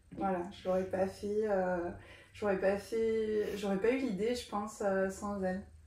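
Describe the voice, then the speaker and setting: A woman's very slow speech with fairly even intonation, audible room echo and noticeable background noise. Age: 40s. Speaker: doula. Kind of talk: interview. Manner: hesitant, many fillers.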